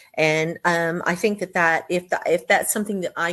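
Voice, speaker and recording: A woman speaks at a moderate pace with an American accent. Her pitch is fairly low. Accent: Texas accent, slips in occasionally. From Texas. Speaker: business owner. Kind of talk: interview testimony. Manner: hesitant, many fillers.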